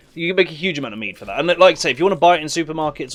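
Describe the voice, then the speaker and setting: A man speaks at a very fast pace with a British accent. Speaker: gaming streamer. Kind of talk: casual chat. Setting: live stream.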